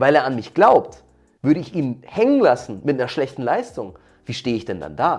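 A man's medium-pitched voice with vocal fry and lively intonation, moderate pace, big swings in loudness, very clean recording and silent background. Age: 30s. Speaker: martial arts coach, former pro MMA fighter. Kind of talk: interview.

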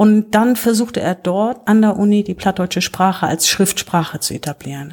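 A woman speaks at a medium pitch. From northern Germany, Low German area. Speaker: volunteer representative, Low German poetry reader. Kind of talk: casual chat with poetry reading. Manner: halting.

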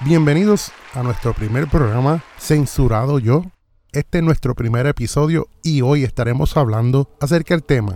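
A man with a dark, mellow tone talks at a fairly high pitch, with ordinary pitch variation. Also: moderate pace. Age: 40s. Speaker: podcast host. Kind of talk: talk show monologue.

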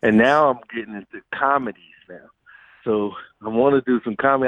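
His pitch moves up and down in a normal way. This man has a mid-range voice. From New York City (Queens). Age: 50s. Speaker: music producer and filmmaker. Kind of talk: interview.

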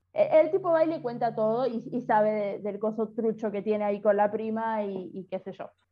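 Speaking with a Rioplatense accent, a woman uses a fairly high pitch and ordinary pitch variation. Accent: Argentine Rioplatense Spanish. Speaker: podcast co-host. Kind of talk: casual chat.

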